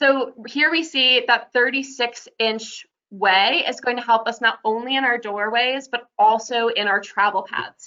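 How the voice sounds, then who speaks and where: The pitch varies in an ordinary way in an ordinary speaking voice. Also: woman. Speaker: accessibility housing presenter. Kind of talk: webinar presentation.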